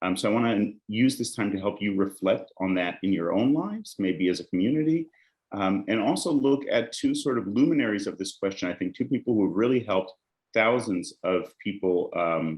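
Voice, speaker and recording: With an American accent, a man speaks at a fairly quick pace in a fairly low pitch with ordinary pitch variation. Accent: American-sounding. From Israel, Jerusalem. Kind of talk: lecture.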